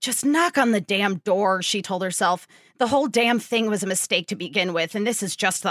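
The pitch shifts in an ordinary way. The delivery is plain reading aloud.

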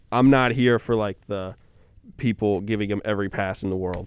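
A man with an American accent, fairly low in pitch, with fairly even intonation. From Wisconsin. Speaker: student sports radio co-host. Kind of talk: casual sports chat.

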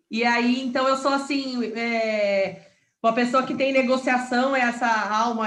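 Fairly slow speech from a woman with a fairly high pitch, plus audible room echo. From Paraná interior, Brazil. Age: 30s. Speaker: entrepreneur and real estate broker. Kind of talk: interview.

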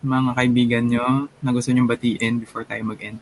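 At a moderate pace, a man speaks in an unremarkable speaking voice at a medium pitch. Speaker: podcast host. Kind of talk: casual chat.

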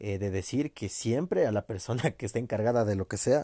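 A man speaks at a moderate pace with a Mexican accent, his voice fairly low, somewhat breathy and dark and mellow in tone with ordinary pitch variation. The sound is dry and close with no echo, on a very clean recording with a silent background. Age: 20s. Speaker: podcaster. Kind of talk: personal monologue.

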